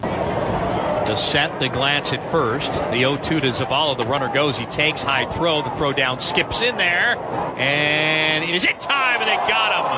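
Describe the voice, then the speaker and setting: Against noticeable background noise, a man with a fairly high pitch and lively intonation speaks at a fairly slow pace with hardly any pauses and very even loudness. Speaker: baseball radio play-by-play announcer. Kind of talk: live baseball radio play-by-play commentary.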